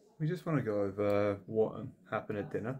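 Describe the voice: A man's fairly low voice at a fairly quick pace, full of lively intonation.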